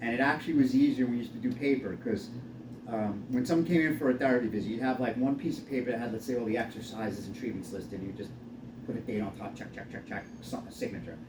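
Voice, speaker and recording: Audible room echo surrounds a man with a medium pitch. He talks at a very fast pace with ordinary pitch variation. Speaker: physical therapist. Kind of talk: casual chat.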